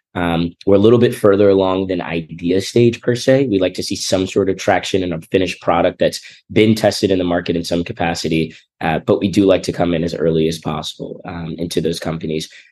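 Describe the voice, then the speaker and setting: Very deep and low, a man's voice races at a very fast pace with fairly even intonation. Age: 20s. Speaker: venture capital investor. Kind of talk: interview.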